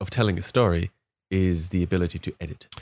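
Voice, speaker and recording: A man with a German accent talks at a moderate pace. The recording is very clean with a silent background and a dry, close sound without echo. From Germany. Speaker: podcast panel member, gamer. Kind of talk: casual chat.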